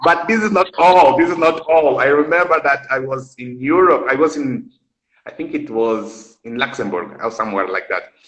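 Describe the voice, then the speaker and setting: A man with a fairly high voice speaks in a Brazilian Portuguese accent. His pace is moderate and his intonation lively. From Angola. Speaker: live stream host. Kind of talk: casual chat.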